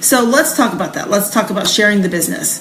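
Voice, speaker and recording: A woman speaks with lively intonation. There is noticeable background noise and audible room echo. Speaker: direct sales trainer. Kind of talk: sales training talk. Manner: fast.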